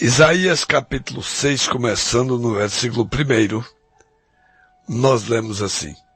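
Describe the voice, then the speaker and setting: A man's put-on character voice, hoarse and raspy at a medium pitch, fairly slow with long, frequent pauses, over music in the background. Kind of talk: preaching, reading scripture.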